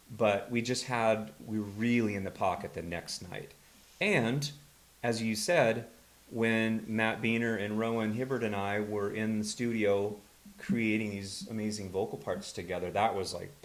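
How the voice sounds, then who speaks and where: At a fairly slow pace, a man talks in a fairly low pitch with fairly even intonation and audible room echo. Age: 60s. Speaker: rock musician, bandleader. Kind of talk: interview conversation.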